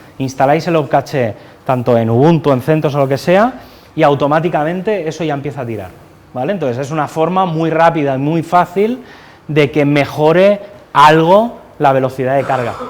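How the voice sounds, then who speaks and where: A man's fairly high-pitched voice with ordinary pitch variation. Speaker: conference speaker. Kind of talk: technical talk. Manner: fast. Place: classroom. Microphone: lapel.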